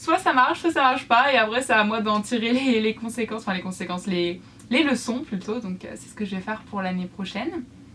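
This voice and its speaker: A woman with a fairly high pitch talks fairly quickly and with lively intonation over noticeable background noise. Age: 20s. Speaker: YouTuber and student crafter. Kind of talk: casual vlog talk to viewers. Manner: hesitant, many fillers.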